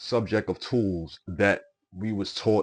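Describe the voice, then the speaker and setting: Against a quiet background, a man with a strong Brooklyn accent talks at a fairly low pitch with fairly even intonation. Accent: thick Brooklyn. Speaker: podcast host. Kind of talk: casual monologue. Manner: repetitive, hesitant with fillers.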